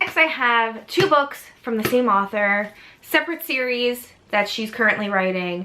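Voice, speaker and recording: The speech moves at a fairly slow pace with ordinary pitch variation. Noticeable background noise can be heard. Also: woman. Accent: American. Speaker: book youtuber. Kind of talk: casual chat.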